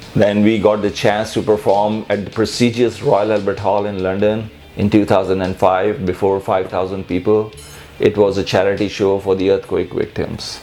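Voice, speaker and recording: A moderate pace and monotone, flat intonation in a Pakistani accent, with music in the background. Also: man, fairly low pitch for a man. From Pakistan, Karachi. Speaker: musician. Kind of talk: personal interview monologue. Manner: halting, with repetitions and fillers.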